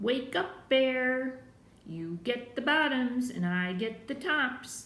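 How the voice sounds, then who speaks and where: A woman uses a put-on character voice, pitched high and spoken at a very slow pace. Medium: read story. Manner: smooth-talking.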